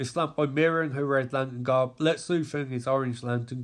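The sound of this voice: The voice is unforced. It is a reading voice.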